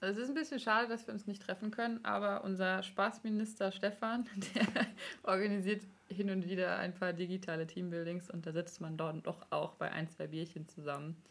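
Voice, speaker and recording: A woman speaks at a moderate pace in an ordinary speaking voice. Her medium pitch moves with ordinary variation. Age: 20s. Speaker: podcast host, master's student. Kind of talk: casual interview.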